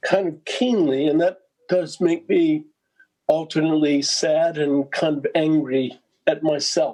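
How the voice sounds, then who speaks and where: Speaking at a fairly slow pace, a man uses a fairly high pitch with a dark, mellow tone. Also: fairly even intonation. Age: 60s. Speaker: patient panelist. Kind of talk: testimony.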